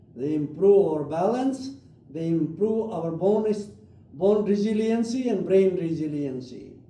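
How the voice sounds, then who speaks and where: Over noticeable background noise and audible room echo, a man talks at a fairly slow pace in a high pitch with lively intonation. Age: 80s+. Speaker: doctor leading yoga class. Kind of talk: guided exercise instruction. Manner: halting.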